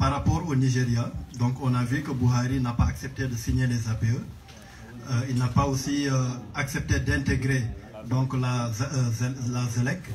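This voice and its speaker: Amid noticeable background noise and audible room echo, a man talks at a fairly slow pace with long, frequent pauses. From Senegal. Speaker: audience member asking a question. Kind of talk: question at a public Q&A. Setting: book launch event with audience.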